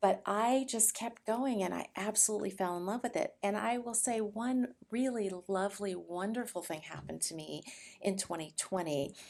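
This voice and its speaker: Using a normal speaking voice, a woman talks at medium pitch and a moderate pace with ordinary pitch variation and hardly any pauses. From California, Mexican-American family. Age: 60s. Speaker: martial arts instructor and author. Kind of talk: interview.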